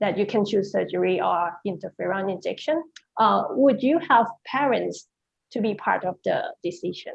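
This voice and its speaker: A woman speaks with a Thai accent. Her pace is fairly slow. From Thailand. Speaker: neurosurgeon. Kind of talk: panel discussion question.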